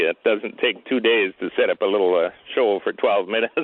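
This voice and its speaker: The speaker is a man. He has a western Canadian accent. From Saskatchewan, western Canada (Regina). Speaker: pyrotechnician. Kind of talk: interview. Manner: halting, many fillers; smiling while talking.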